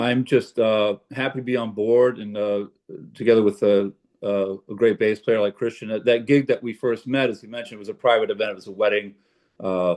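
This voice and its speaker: Using an unremarkable speaking voice, a man talks fairly quickly at medium pitch with fairly even intonation and big swings in loudness. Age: 60s. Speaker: jazz pianist. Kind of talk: casual chat. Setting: video call.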